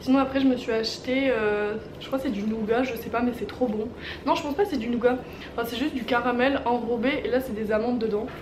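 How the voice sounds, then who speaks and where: The speech runs at a fairly quick pace with fairly even intonation, noticeable background noise underneath. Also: woman, high pitch for a woman. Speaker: vlogger. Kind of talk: casual vlog chat. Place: home room.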